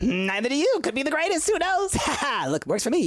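A put-on character voice, high-pitched, with very wide pitch swings and a fairly quick pace. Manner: fast, brusque, distracted.

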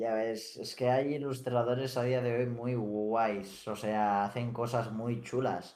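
A man speaks at a medium pitch in a flat monotone. His pace is very slow, with hardly any pauses. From Mallorca, Spain (Felanitx). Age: young. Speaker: streamer. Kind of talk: casual chat.

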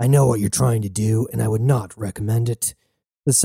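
A natural reading voice sounds against a quiet background.

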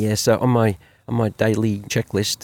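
With an Australian accent, a man with a fairly low pitch and a dark, mellow tone speaks in a dry, close sound with no echo. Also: very clean recording, silent background. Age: 50s. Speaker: business owner and father. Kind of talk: casual chat. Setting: outdoors by a campfire.

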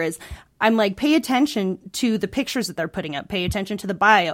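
In a very clean recording with a silent background, a woman speaks in a normal speaking voice at medium pitch with ordinary pitch variation. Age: 30s. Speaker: counseling intern. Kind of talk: casual chat.

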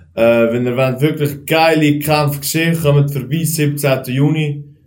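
Fairly high, somewhat breathy male voice, fairly slow, with fairly even intonation and audible room echo. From Switzerland, Aargau near Baden. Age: 20s. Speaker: kickboxer and driving instructor. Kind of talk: casual chat.

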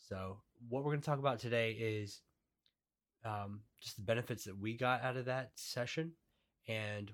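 At a moderate pace and medium pitch, a man speaks with fairly even intonation and long, frequent pauses. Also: very clean recording, silent background. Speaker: podcast host. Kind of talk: casual chat. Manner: casual, conversational.

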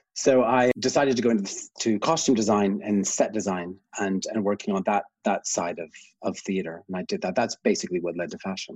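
Speaking at a fairly quick pace, a man has an ordinary speaking voice with a fairly low pitch. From Canada, small town. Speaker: fashion designer. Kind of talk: casual chat.

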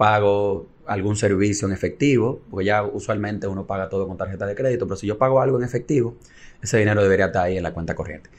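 The speech comes very fast from a man. Fairly even intonation runs through it. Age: 30s. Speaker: economics lecturer. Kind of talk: casual chat.

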